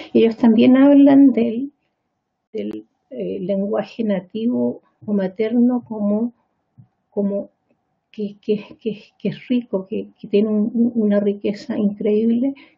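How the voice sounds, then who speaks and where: Very slowly and with long, frequent pauses, a woman speaks in a somewhat breathy voice with a fairly high pitch. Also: ordinary pitch variation. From Chile. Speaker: pediatrician and psychiatrist. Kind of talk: lecture. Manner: halting, with frequent repetitions.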